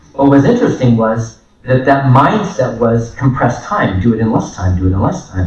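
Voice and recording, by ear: A man speaks at medium pitch and a moderate pace, his tone slightly mellow. His intonation is lively, and room echo is audible.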